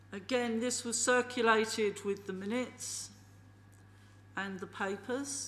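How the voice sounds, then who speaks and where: A woman at fairly high pitch and a fairly slow pace, with fairly even intonation, long, frequent pauses, and audible room echo. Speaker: committee chair. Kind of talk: council meeting chairing. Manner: loud.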